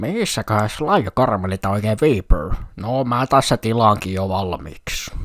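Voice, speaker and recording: A man performs a put-on character voice. It sits at a fairly low pitch. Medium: fan dub.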